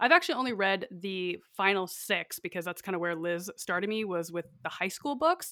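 A woman's medium-pitched voice with a bright, sharp tone, an American accent, ordinary pitch variation, a moderate pace and hardly any pauses. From northern Idaho. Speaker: podcast host, guest. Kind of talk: casual chat. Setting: remote recording.

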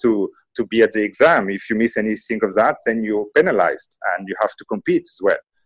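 This man has an unremarkable speaking voice at a medium pitch, talking at a fairly quick pace in a very clean recording with a silent background. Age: 30s. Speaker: management consultant and MBA teacher. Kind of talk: interview.

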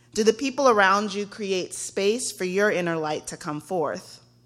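A woman with an American accent speaks in a plain, everyday voice at medium pitch and moderate pace. Her pitch variation is ordinary, on a very clean recording with a silent background. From Texas. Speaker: guest preacher, young adult ministry director. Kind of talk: sermon. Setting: church.

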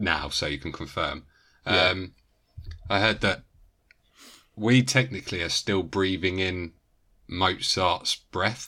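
Speaking in a British accent, a man uses a very deep, low pitch with a bright, sharp tone and ordinary pitch variation. His pace is very slow, with long, frequent pauses, in a very clean recording with a silent background. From Britain. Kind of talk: casual chat.

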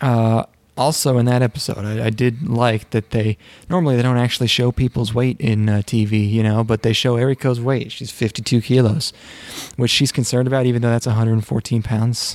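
A man speaks in a medium pitch with a normal speaking voice, fairly even intonation and a moderate pace, recorded with a dry, close sound and no echo. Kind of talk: casual chat. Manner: casual, joking.

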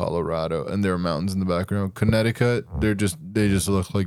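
A man with a plain, everyday voice talks at a fairly quick pace and fairly low pitch. The recording is very clean with a silent background. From Idaho. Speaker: podcast co-host. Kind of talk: casual chat.

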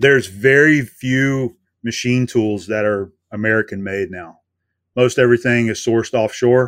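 A man has a normal speaking voice at a medium pitch with ordinary pitch variation and a moderate pace. The recording is very clean, with a silent background. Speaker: YouTube machinist. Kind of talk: casual interview chat.

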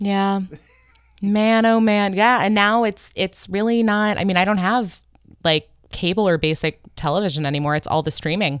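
The recording is very clean with a silent background. Speech moves at a moderate pace with very even loudness. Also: woman, medium pitch for a woman, ordinary pitch variation. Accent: American. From Northern California. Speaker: podcast host. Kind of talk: casual chat. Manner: animated.

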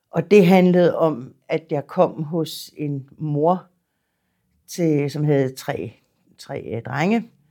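On a very clean recording with a silent background, a woman speaks with a very deep, low pitch, a dark, mellow tone and fairly even intonation. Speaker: psychiatric nurse near retirement. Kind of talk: interview testimony. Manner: hesitant, repeats words.

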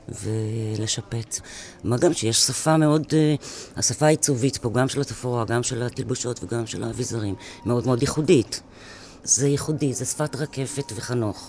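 Noticeable background noise behind a man at a medium pitch, moderate pace and ordinary pitch variation. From France. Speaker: stage actor. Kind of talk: interview.

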